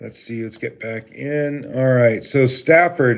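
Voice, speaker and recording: In an American accent, a man talks at a fairly slow pace and medium pitch, his intonation fairly even. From Vermont, US. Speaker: live streamer. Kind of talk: casual live stream chat. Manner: halting, many fillers.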